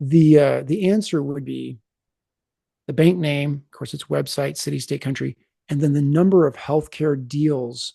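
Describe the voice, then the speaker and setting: This man's voice has a dark, mellow tone and sits fairly high in pitch. It comes out somewhat breathy, with fairly even intonation. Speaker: software product presenter. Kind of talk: product demo webinar. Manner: fast.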